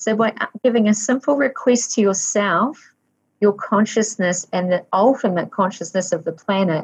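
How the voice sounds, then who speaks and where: A woman speaks with a New Zealand accent at a medium pitch, somewhat breathy. Her pace is moderate and her pitch varies in an ordinary way. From New Zealand (Waikato). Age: 50s. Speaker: life coach, former school teacher. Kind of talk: interview conversation.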